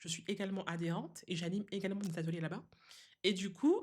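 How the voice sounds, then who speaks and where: This woman's voice has a medium pitch. It carries somewhat of a breathy quality. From Guadeloupe. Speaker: seamstress and craft designer. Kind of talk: podcast interview. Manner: hesitant, many fillers.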